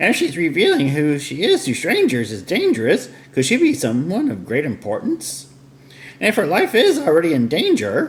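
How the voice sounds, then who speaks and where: A man puts on a character voice, pitched high and delivered at a moderate pace. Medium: game stream. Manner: inquisitive.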